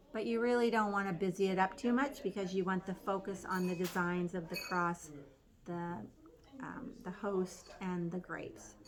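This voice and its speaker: This is a normal speaking voice from a woman, pitched in the medium range. She keeps a moderate pace with ordinary pitch variation. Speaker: pottery painting instructor. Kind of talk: tutorial.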